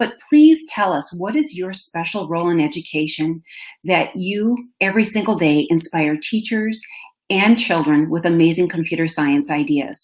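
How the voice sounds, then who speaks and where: A woman speaks at a moderate pace with a Minnesotan accent. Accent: Minnesota. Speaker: education manager and webinar host. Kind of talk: webinar presentation. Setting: online webinar. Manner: animated.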